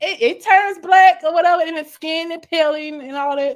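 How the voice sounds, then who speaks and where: A woman talks with an American accent. Her pace is moderate. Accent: country-sounding speech, per others. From US, military child raised on bases. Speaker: YouTube vlogger. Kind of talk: casual live stream chat. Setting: live stream. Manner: casual, chatty.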